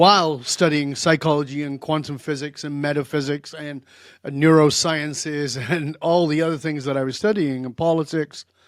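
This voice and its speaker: A man speaks with a plain, everyday voice, fairly high in pitch, at a moderate pace and with fairly even intonation. The recording is very clean, with a silent background. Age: 60s. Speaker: leadership coach and therapist. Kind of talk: interview conversation.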